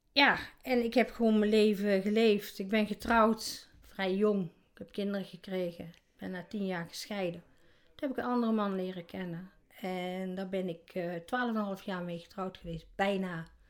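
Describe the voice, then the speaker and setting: This woman has an unremarkable speaking voice at a medium pitch, with fairly even intonation. Her pace is moderate, and her loudness swings widely. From Netherlands, North Brabant. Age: 60s. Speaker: interviewee with obesity. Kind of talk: casual interview. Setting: at home.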